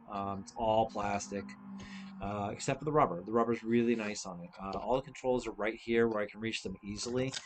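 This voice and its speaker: With music in the background, a man of medium pitch speaks at a fairly quick pace, his intonation fairly even but his loudness swinging widely. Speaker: gaming streamer. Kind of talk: live stream product demo. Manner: casual, filler-heavy.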